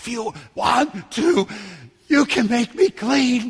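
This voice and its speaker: In a put-on character voice, raspy and fairly high in pitch, the speaker drawls at a very slow pace. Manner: pitiful, pleading.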